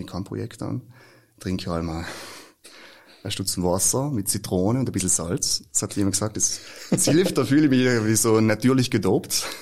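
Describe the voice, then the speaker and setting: The man's voice carries ordinary pitch variation. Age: 20s. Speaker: actor. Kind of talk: casual chat.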